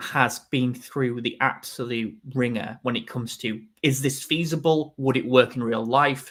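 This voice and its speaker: A man with a Yorkshire accent at a medium pitch, fairly slow pace and hardly any pauses. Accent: Yorkshire accent, noticeable. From northern England, Yorkshire. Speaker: film fan livestream host. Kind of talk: casual chat. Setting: livestream.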